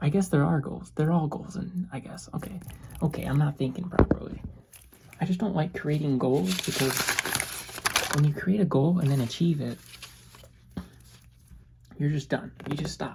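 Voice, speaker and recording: A soft-spoken woman's very deep, low voice at a moderate pace, with ordinary pitch variation, long, frequent pauses and noticeable background noise. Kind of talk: soft-spoken lo-fi ASMR ramble. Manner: soft-spoken, rambling, casual.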